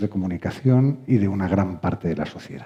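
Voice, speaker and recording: The voice has a dark, mellow tone with ordinary pitch variation. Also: man. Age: 60s. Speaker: lawyer, panel moderator. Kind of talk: panel discussion. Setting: stage with audience, streamed. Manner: hesitant, frequent fillers.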